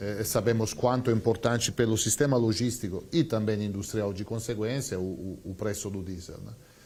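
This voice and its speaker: Somewhat breathy and fairly low-pitched, a man speaks with an Italian accent and ordinary pitch variation. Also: moderate pace. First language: Italian (speaking Portuguese). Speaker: company CEO. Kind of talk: TV interview. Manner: hesitant, many fillers.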